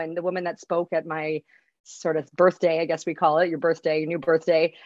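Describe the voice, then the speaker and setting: Against a quiet background, a woman speaks fairly quickly at a fairly low pitch. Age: 40s. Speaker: recovering alcoholic, public speaker. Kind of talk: casual interview. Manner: halting.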